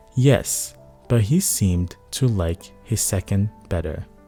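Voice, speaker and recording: Music plays in the background as a man talks. His pitch is fairly low, with lively intonation. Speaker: bedtime story narrator. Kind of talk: sleep story reading of a classic novel.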